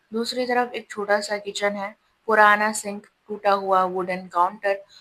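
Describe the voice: The clip is plain reading aloud with fairly even intonation. The background is quiet.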